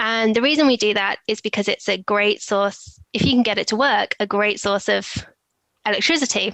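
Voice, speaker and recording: Someone speaks in a British accent at a fairly slow pace with fairly even intonation. The sound is dry and close, with no echo. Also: woman. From England, Oxfordshire. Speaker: e-discovery professional, former physicist. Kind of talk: casual interview chat. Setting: video call.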